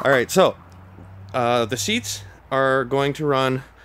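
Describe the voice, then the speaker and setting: The man talks at a medium pitch. His intonation is fairly even. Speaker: DIY woodworking and welding YouTuber. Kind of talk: tutorial. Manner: monotone; casual, many fillers.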